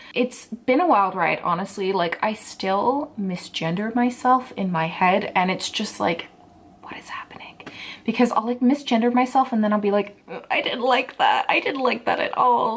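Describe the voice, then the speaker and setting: Over noticeable background noise, a woman speaks at a moderate pace in a relaxed tone with lively intonation. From England. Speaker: book blogger, booktuber. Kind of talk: casual talk to camera. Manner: chatty, relaxed.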